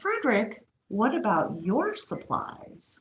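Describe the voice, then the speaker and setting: A woman speaks in a put-on character voice at a fairly high pitch. Her pace is fairly slow. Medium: read story.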